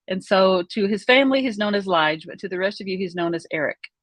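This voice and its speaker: A woman with an Oklahoma accent. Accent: Oklahoma southern US. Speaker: vlogger. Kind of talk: personal storytelling. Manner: conversational, hesitant with fillers.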